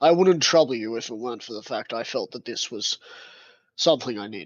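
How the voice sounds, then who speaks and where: A man's raspy put-on character voice, medium in pitch, fairly quick, with lively intonation. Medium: actual play. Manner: formal, deferential.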